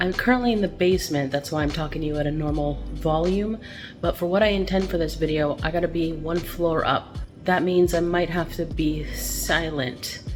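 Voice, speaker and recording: Backed by music, a woman's voice carries audible room echo. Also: fairly low pitch for a woman, ordinary pitch variation, moderate pace. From Canada, Montreal. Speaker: vlogger. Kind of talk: casual vlog. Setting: at home at night, basement.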